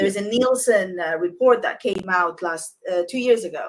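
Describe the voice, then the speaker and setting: A woman of medium pitch talks at a fairly quick pace with ordinary pitch variation. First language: not English. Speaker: consultancy founder and interviewer. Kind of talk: interview.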